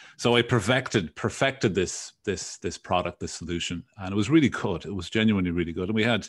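In a Dublin accent, a man talks very fast with hardly any pauses. His pitch is fairly low with ordinary variation, and the background is quiet. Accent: Irish, Dublin. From Dublin, Ireland. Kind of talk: casual interview chat.

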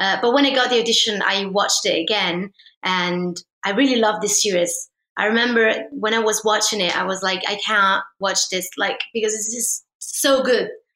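A woman talks at a moderate pace in a fairly high voice. Her intonation stays fairly even. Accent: Italian. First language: Italian. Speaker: actress and folk singer. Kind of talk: interview.

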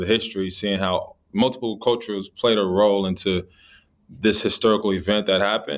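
A man with an American accent speaks at a fairly quick pace in an unremarkable speaking voice. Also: very clean recording, silent background. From Los Angeles, California. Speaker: actor and former basketball player. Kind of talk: interview.

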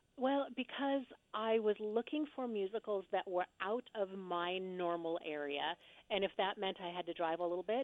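A woman's plain, everyday voice with lively intonation. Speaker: actress and theater reviewer. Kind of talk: casual interview chat.

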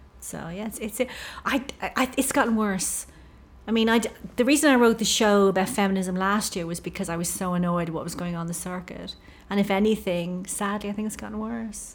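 A woman speaks in an Irish accent, with ordinary pitch variation. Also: medium pitch for a woman, fairly quick pace. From Ireland. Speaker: stand-up comedian and novelist. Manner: low-energy, soft-spoken.

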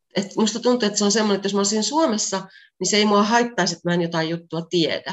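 This woman talks at a very fast pace. Her pitch is medium, with ordinary variation. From Finland, Pieksämäki. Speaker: translator and Finnish teacher. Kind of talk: interview. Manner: normal conversational pace.

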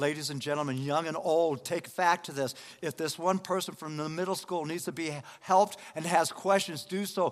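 The speaker has an American accent and an animated tone. The pace is moderate. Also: man. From Denver, Colorado. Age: 70s. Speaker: lay preacher. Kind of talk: sermon. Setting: church.

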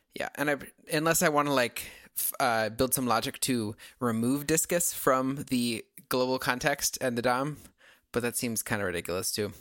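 In a plain, everyday voice, a man speaks at a moderate pace in a medium pitch with ordinary pitch variation, on a very clean recording with a silent background. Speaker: podcast host, web developer. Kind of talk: casual chat.

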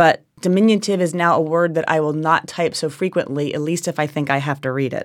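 Speaking at a fairly quick pace with a New Jersey accent, a woman uses a low pitch and fairly even intonation on a very clean recording with a silent background. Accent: New Jersey American.

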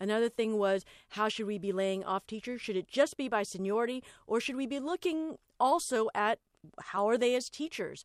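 A woman with an American accent speaks at a moderate pace in an ordinary speaking voice, her fairly high pitch carried by lively intonation, in a dry, close recording with no echo. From Los Angeles. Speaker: podcast host. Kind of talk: casual chat.

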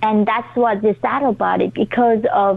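A woman with a Korean accent at a moderate pace, against noticeable background noise. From North Korea. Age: 20s. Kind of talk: interview.

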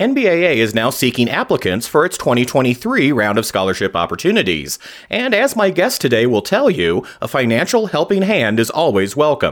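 With very wide pitch swings yet very even loudness, a man speaks at a fairly high pitch with vocal fry and hardly any pauses. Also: moderate pace. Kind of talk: scripted news narration with interview intro.

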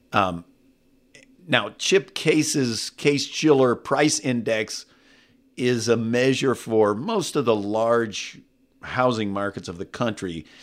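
A man's medium-pitched voice with an American accent and ordinary pitch variation at a very slow pace, on a very clean recording with a silent background. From California, Texas-born. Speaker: economist, former presidential economic adviser. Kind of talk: interview conversation. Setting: studio.

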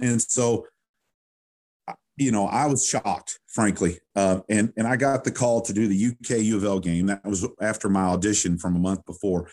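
With a rural Kentucky accent, a man speaks in a dry, close sound with no echo and a quiet background. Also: ordinary pitch variation, moderate pace. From western Kentucky, Owensboro. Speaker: sports PA announcer. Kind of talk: casual interview.

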